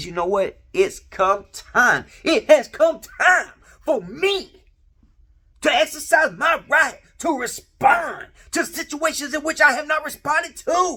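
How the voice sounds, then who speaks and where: The put-on character voice moves along at a fairly slow pace. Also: man, extremely high pitch for a man. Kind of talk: sermonizing. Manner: solemn, preachy.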